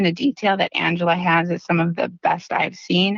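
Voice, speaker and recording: A woman with a slight Wisconsin accent. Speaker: dental practice consultant. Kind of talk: podcast interview. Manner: animated.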